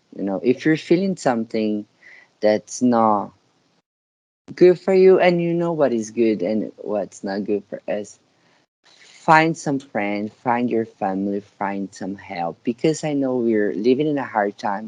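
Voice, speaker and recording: Spoken at a fairly slow pace with lively intonation in a Brazilian Portuguese accent, the voice sounds dry and close with no echo. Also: man. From Brazil, Sao Paulo. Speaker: dancer and dance teacher. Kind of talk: casual interview. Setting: call.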